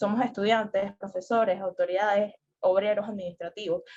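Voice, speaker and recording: Talking at a very fast pace, a woman has a medium pitch and a dark, mellow tone. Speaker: student representative. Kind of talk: debate.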